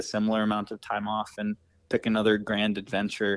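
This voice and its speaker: With an American accent, a man talks at a fairly quick pace in a fairly low pitch and an unremarkable speaking voice. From Wisconsin, US Midwest. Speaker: long-distance cyclist and social media vlogger. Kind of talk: interview, casual chat.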